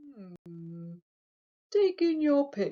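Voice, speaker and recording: Put-on character voice from a woman, fairly high in pitch, with very wide pitch swings. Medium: read story. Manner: slow, musing.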